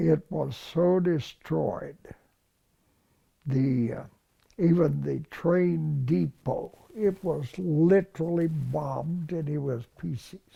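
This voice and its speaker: A man speaks very slowly with a Texan accent, his pitch fairly high. His tone is dark and mellow, with ordinary pitch variation. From Texas. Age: 90s. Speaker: war veteran. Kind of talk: interview.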